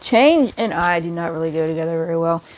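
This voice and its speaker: A woman's fairly low voice with an American accent and fairly even intonation. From US South, rural Virginia. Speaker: YouTuber. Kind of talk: casual vlog talk. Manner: halting, with pauses and repetition.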